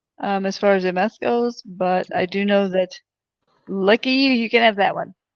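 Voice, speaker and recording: With ordinary pitch variation and a medium pitch, a woman talks at a moderate pace. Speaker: podcast co-host. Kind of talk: casual chat. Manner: soft-spoken.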